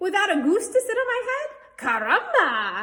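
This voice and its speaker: A woman does a put-on character voice pitched extremely high, moving along at a moderate tempo. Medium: read story.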